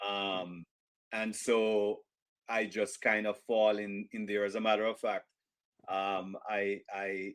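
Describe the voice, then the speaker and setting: With a Jamaican accent, a man speaks fairly low and very slowly in monotone, flat intonation, with long, frequent pauses and music in the background. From rural Jamaica. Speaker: author and business executive. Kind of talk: interview.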